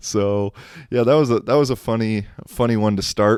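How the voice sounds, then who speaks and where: This man speaks with an American accent in a normal speaking voice, at a moderate pace with ordinary pitch variation. The recording is very clean and dry, close with no echo, and the background is silent. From United States. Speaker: podcast host. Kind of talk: casual solo podcast monologue.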